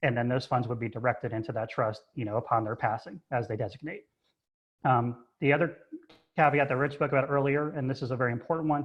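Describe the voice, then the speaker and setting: A man races along at a very fast pace, his medium pitch showing ordinary pitch variation. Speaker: trust advisor. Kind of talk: webinar presentation. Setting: video call from home office. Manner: loud.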